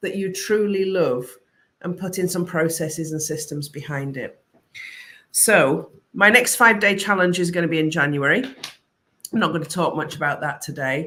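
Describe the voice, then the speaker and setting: This woman's voice has a bright, sharp tone, a fairly low pitch, and ordinary pitch variation. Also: moderate pace. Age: 50s. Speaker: creative business coach. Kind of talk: live stream talk to viewers. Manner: animated.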